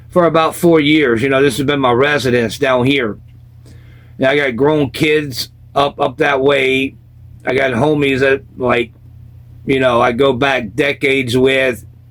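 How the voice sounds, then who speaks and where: Fairly slow and broken by long, frequent pauses, a man with an American accent speaks at a fairly high pitch and very even loudness. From US South, South Carolina. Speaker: former punk rocker telling life stories. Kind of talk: casual storytelling interview.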